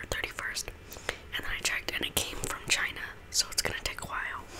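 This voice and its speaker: Someone whispers over noticeable background noise. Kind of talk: ASMR whispered eating and chatting to camera. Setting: home recording with a condenser microphone. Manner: soft-spoken, casual, chatty.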